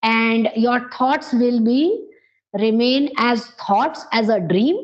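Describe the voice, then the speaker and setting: A speaker with an Indian accent uses lively intonation. The pace is very slow. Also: woman. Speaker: English teacher. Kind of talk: coaching conversation.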